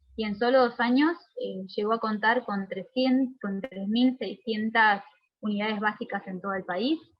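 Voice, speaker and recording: A woman's voice with a fairly high pitch and ordinary pitch variation. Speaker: lecturer. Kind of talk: lecture. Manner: fast; hesitant, with fillers.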